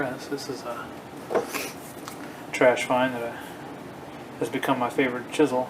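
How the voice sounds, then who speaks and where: With noticeable background noise and audible room echo, a man speaks at a moderate pace and medium pitch in a flat, monotone delivery. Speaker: woodworking hobbyist. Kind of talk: casual shop tutorial. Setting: home garage workshop. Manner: hesitant, many fillers.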